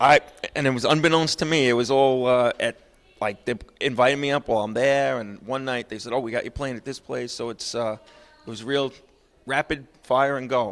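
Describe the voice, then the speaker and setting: A man speaks at a fairly quick pace with an American accent. His pitch is medium and his intonation fairly even. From New Jersey / New York. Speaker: country singer-songwriter. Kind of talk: interview. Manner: loud.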